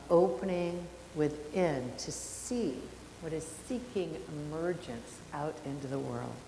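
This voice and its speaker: Amid audible room echo and noticeable background noise, a woman with a very deep, low pitch speaks at a very slow pace with lively intonation. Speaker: minister. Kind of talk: sermon. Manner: loud.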